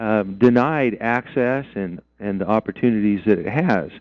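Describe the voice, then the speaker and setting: This is a normal speaking voice from a man with an American accent. He speaks at a fairly slow pace with ordinary pitch variation. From Idaho. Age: 60s. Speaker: mining and land-use activist. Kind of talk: radio interview.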